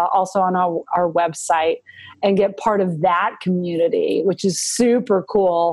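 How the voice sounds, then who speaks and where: A woman with an American accent and a normal speaking voice talks at a fairly slow pace, at a medium pitch with ordinary pitch variation. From Montana. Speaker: political organization president. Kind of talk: interview conversation.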